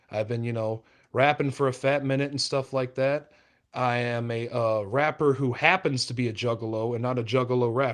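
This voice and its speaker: With a Midwestern American accent, a man talks at a medium pitch and moderate pace with fairly even intonation over a quiet background. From southern Illinois, St. Louis area. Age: 20s. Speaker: rapper. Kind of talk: casual podcast chat.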